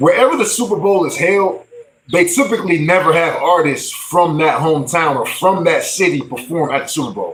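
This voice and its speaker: A man's high-pitched, animated voice, with lively intonation at a fairly quick pace. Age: 40s. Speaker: music livestreamer and rapper. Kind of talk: casual livestream talk. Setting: livestream.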